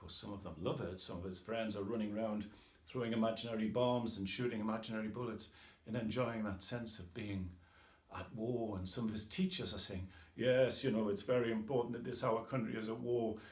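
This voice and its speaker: Over noticeable background noise and audible room echo, a man with a Geordie accent talks fairly quickly at medium pitch with fairly even intonation. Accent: northeastern English (Geordie). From northeast England, Tyneside. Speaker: author. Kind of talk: casual talk about his book. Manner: informal, with hesitations.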